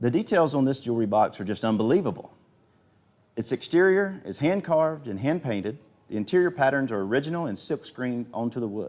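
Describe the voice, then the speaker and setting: Very fast speech from a man with a Southern US accent, a medium pitch and very wide pitch swings. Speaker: auctioneer. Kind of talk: live auction commentary. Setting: livestream. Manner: animated.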